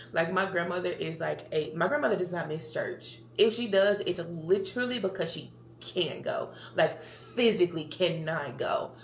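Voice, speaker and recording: With an American accent, a woman speaks at a medium pitch and a moderate pace. Her intonation is lively, and audible room echo surrounds her. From Tennessee, near Memphis. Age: 20s. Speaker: podcast host. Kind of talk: casual monologue. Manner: chatty, rambling talker.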